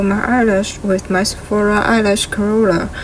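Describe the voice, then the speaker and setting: A woman with a non-native accent speaks at medium pitch and a fairly slow pace, her intonation monotone and flat. Noticeable background noise runs underneath. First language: not English. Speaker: beauty vlogger. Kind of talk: makeup tutorial.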